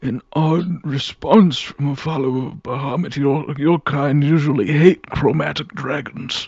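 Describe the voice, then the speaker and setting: A man puts on a character voice, pitched fairly high and paced moderately. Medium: actual play. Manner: polite, hesitant.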